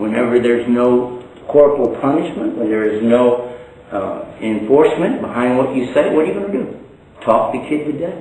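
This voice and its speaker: A man at a moderate pace, with audible room echo. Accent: Texan. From Texas. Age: 60s. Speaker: Islamic preacher. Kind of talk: lecture; informal talk to a small audience. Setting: stage with audience. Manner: humorous. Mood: relaxed, a little humorous. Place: home room. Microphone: camera far.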